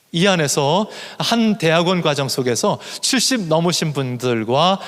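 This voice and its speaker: Against noticeable background noise, a man speaks at a fairly high pitch with very wide pitch swings. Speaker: professor of missiology. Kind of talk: lecture.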